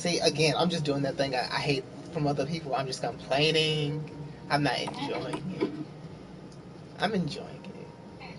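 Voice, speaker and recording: Noticeable background noise beneath long, frequent pauses. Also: moderate pace. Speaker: game streamer. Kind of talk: casual chat.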